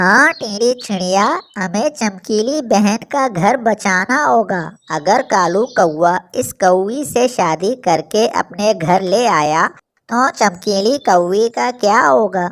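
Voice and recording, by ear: In a cartoonish character voice that sounds female, the speaker goes at a very slow pace with a medium pitch for a woman.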